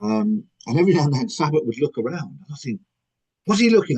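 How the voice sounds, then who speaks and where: A man talks at a fairly quick pace with vocal fry. His pitch swings very widely. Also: dry, close sound with no echo. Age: 60s. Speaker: author. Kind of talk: podcast interview.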